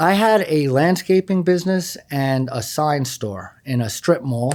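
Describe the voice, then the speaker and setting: A man with a New York accent talks fairly slowly in a fairly high pitch, his intonation lively. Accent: East Coast (New York). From New York City (Queens, Long Island). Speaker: math teacher and former poker player. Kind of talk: interview.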